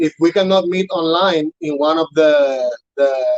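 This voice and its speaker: A man with a Spanish accent talks at a fairly high pitch. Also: dry, close sound with no echo. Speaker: urban farm staff trainer. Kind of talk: interview on live broadcast. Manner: halting, many fillers and repetitions.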